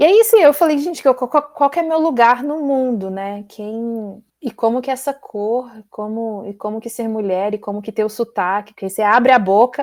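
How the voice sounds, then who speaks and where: Speaking at a moderate pace with hardly any pauses, a woman uses a high pitch, lively intonation and big swings in loudness, captured on a very clean recording with a silent background. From Brazil. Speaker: PhD student. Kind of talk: casual interview.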